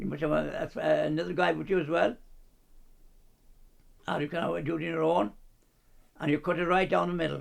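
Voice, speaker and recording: A man with a Kerry accent talks at a fairly quick pace, broken by long, frequent pauses. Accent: Kerry Irish. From County Kerry, Ireland. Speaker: former cyclist, acrobat and ventriloquist. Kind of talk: documentary interview answer. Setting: at home. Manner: hesitant, repetitive.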